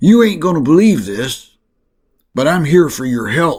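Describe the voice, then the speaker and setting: Putting on a character voice, a man speaks at a moderate pace in a raspy, fairly high pitch with very wide pitch swings. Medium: read story. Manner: drawling, folksy.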